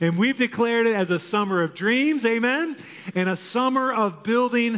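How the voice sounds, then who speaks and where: The speaker is a man. Ordinary pitch variation runs through his voice. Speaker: pastor preaching. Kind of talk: sermon. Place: church.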